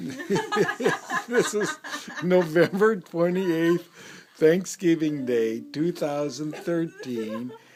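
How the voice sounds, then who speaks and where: Amid noticeable background noise, a man talks with very wide pitch swings. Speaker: interview narrator. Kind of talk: casual family interview.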